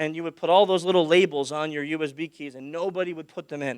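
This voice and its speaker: A man at fairly high pitch with ordinary pitch variation, dry and close with no echo, in a very clean recording with a silent background. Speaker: security conference speaker. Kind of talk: conference talk. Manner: loud, projecting; animated.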